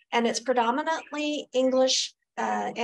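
A woman at a very slow pace with fairly even intonation, over light background noise. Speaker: panelist. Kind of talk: panel discussion talk. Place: meeting room. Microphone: camera far.

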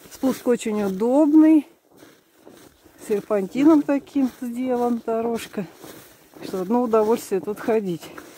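Her tone dark and mellow with a slightly husky edge, a woman speaks at a fairly high pitch with ordinary pitch variation. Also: fairly slow pace.

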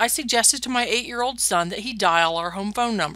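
A woman with a bright, sharp tone talks at a very fast pace, her pitch swinging very widely. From US Midwest, northwestern Ohio. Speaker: professor. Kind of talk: lecture. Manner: formal.

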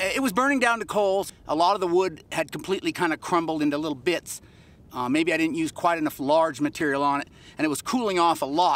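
Over music in the background, the speech moves at a very fast pace with lively intonation, the sound dry with no echo. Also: man, high pitch for a man. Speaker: pottery instructor. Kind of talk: tutorial. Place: open country.

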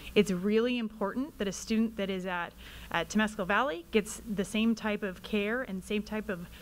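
With a plain, everyday voice, a woman speaks at a fairly high pitch with ordinary pitch variation. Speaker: school mental health staff; presenter. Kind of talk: presentation to school board. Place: meeting room. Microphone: podium.

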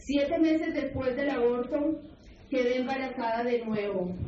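Audible room echo and noticeable background noise around a woman's high-pitched voice with fairly even intonation. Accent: non-native. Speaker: testimony narrator in projected video. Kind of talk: personal testimony. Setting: projected video recorded in a school hall. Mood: sorrowful, confessional. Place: hall. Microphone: pa.

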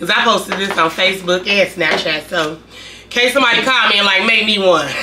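Over music in the background, a woman talks at a very fast pace with ordinary pitch variation. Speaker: food vlogger. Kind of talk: casual vlog chat. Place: home room. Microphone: camera far.

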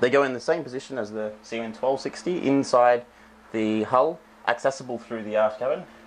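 A man speaks at a moderate pace with ordinary pitch variation. There is light background noise behind him. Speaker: presenter. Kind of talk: product walkthrough. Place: factory.

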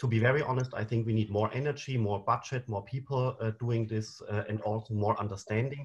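The voice is somewhat breathy, with fairly even intonation at a fairly quick pace. The background is quiet. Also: man. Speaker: panel moderator. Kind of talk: moderator introduction and slide explanation. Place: home room. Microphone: webcam.

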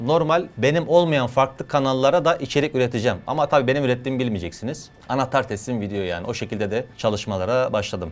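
Delivered at a very fast pace with hardly any pauses, the speech has lively intonation. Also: man. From Adana, southern Turkey. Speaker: YouTuber and sketch comedian. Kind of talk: interview answering reader questions.

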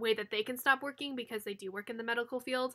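A bright, sharp tone against a quiet background. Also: woman. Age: 20s. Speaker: YouTuber, planner creator. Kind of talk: casual vlog talk and tutorial. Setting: at home. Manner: casual, many fillers. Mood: chatty, a bit tired.

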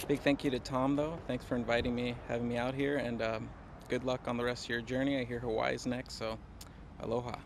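Over light background noise, a man talks at a fairly quick pace in monotone, flat intonation, with a dry sound with no echo. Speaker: golf vlogger. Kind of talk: casual talk to camera. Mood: relaxed, upbeat. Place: open country. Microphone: phone near.

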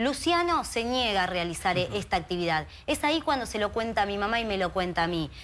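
Talking at a fairly quick pace, a woman leaves hardly any pauses. Her pitch swings very widely over light background noise. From Argentina, Greater Buenos Aires. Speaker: activist, sister of a missing youth. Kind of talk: TV interview. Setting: TV studio. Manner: animated. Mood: earnest, indignant, emotional. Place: studio. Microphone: lapel.

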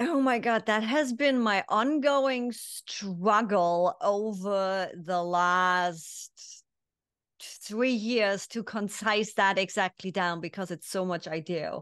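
A woman speaks very slowly with a German accent and ordinary pitch variation. The background is quiet. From East Germany. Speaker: business consultant and mindset coach; mindset coach. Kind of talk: interview. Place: home room.

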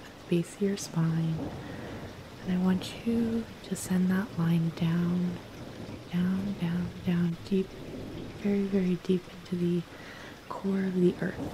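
Soft-spoken and calm, a woman at medium pitch talks very slowly in a flat monotone, with long, frequent pauses. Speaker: cannabis and spirituality content creator. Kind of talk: guided grounding meditation. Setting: rain sounds layered in background. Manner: soft-spoken, calm, slow.

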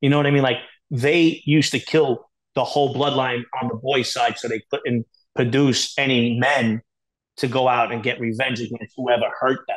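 A man with a New York accent speaks over a quiet background. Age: middle-aged. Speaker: former organized crime associate; podcast guest. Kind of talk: interview. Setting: video call. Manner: animated. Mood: animated storytelling. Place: home room. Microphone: earbuds.

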